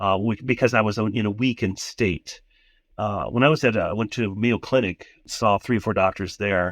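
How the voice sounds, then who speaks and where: A man with an American accent speaks at a moderate pace in a fairly low voice, the sound dry and close with no echo against a quiet background. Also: fairly even intonation. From US Midwest, southern Minnesota. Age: 60s. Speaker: retired Lutheran pastor. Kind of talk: interview testimony. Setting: phone call while traveling.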